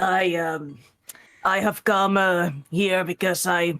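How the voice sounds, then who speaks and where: A put-on character voice at a middle pitch and very slow pace. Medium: actual play. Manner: hesitant, casual.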